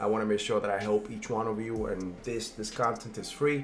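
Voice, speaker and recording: This man talks at a fairly quick pace with fairly even intonation. Noticeable background noise runs under his voice. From immigrant from a developing country. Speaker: credit repair consultant and video host. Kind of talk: casual tutorial. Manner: filler-heavy, with frequent um and uh.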